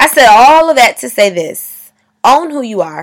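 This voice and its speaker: Vocal fry with very wide pitch swings. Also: woman. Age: 20s. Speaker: podcast host. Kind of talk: motivational monologue. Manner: loud; animated.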